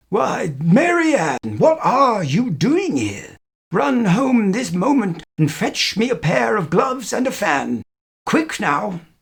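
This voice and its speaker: Using a put-on character voice, a man talks at a fairly slow pace in a high pitch with very wide pitch swings. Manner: angry, commanding.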